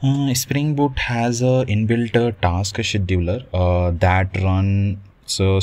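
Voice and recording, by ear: A man speaks slowly in a low voice, with little pitch movement and a slightly mellow tone.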